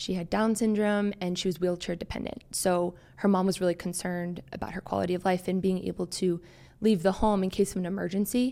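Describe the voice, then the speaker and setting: In a very clean recording with a silent background, a woman with a normal speaking voice talks at a fairly quick pace, medium in pitch with fairly even intonation. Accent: American. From US, Maryland. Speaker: occupational therapy student. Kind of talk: interview. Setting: studio.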